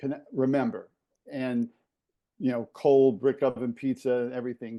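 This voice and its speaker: A man talks with an American accent at a medium pitch. His tone is dark and mellow, and the background is quiet. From New York City, East Harlem. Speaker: former college basketball operations director. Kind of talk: casual podcast chat.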